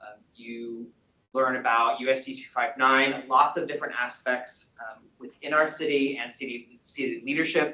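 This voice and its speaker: Here a man speaks with a bright, sharp tone at a moderate pace. His intonation is fairly even, while his loudness swings widely. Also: medium pitch for a man. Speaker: community board member. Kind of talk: presentation.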